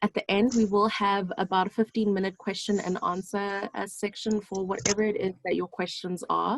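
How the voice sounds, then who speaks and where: A woman in an ordinary speaking voice at medium pitch, moderate pace, fairly even intonation, and hardly any pauses. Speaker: clinical psychologist. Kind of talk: online seminar presentation.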